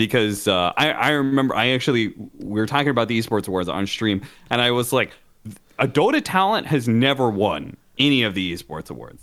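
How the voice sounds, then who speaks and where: With a normal speaking voice, a man talks at a fairly quick pace and medium pitch, his intonation lively. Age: 30s. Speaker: esports podcast co-host. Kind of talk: casual chat.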